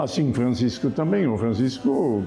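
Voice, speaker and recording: A man with a German accent, medium pitch and lively intonation, with audible room echo and music in the background. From Germany. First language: German (speaking Portuguese). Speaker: Franciscan friar. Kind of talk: TV interview on religion.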